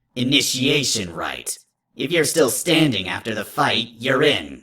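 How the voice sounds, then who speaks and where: A man puts on a character voice at medium pitch. He goes at a fairly slow pace. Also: lively intonation. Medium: read story. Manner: curt, commanding, scornful.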